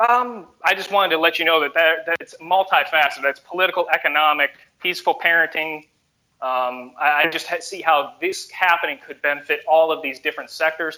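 A man with a plain, everyday voice talks at a fairly quick pace and a fairly high pitch. His pitch varies normally, while his loudness swings widely. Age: 20s. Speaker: caller. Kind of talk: call-in debate.

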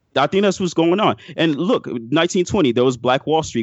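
A man with an ordinary speaking voice, lively intonation and a fairly quick pace. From Miami, Florida (born in Haiti). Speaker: caller. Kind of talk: casual chat.

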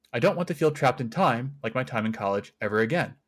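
Recorded very cleanly against a silent background, a man talks at a fairly quick pace. His pitch is medium, and his intonation is lively. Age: 20s. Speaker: caller. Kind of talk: reading aloud.

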